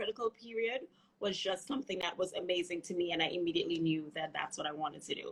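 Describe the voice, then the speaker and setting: In a slight Trinidadian accent, the speaker talks very fast with a bright, sharp tone. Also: woman. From Trinidad and Tobago. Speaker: physical therapist. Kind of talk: interview.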